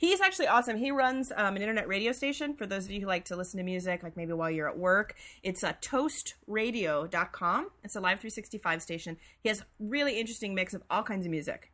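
Her bright, sharp tone carries lively intonation as the woman talks at a fairly quick pace. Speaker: podcast co-host. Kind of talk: casual chat. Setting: remote recording. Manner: fast.

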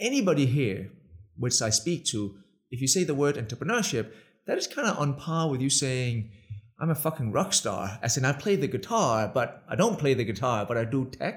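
A somewhat breathy man with a Danish accent moves at a moderate pace, his intonation lively. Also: medium pitch for a man. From Denmark. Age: 40s. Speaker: tech entrepreneur. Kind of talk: interview. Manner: animated.

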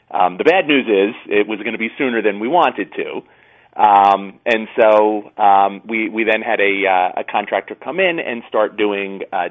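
A man talks at a fairly low pitch with ordinary pitch variation, in an unremarkable speaking voice. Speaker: homeowner. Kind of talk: interview.

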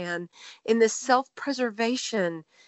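A woman speaks with a Texan accent and lively intonation. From Texas. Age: 30s. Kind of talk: personal testimony.

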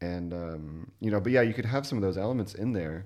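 This man has an ordinary speaking voice with a fairly low pitch. He talks at a fairly quick pace with ordinary pitch variation. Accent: American. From US, Louisville, Kentucky. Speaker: podcast host, music podcast. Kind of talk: casual chat.

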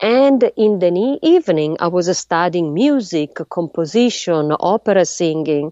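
A woman with an Italian accent, fairly low-pitched and fairly slow, with lively intonation. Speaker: astrophysicist. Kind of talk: interview. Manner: halting.

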